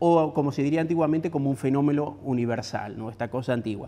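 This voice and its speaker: A man speaks at a very fast pace with a fairly high pitch. His tone is dark and mellow. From Argentina. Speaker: architecture critic and professor. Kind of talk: lecture. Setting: stage with audience. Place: hall. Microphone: lapel.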